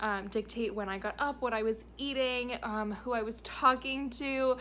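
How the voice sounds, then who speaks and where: With light background noise, a woman speaks at a moderate pace in fairly even intonation. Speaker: travel vlogger. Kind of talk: casual vlog chat. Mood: warm, content. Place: home room. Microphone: phone near.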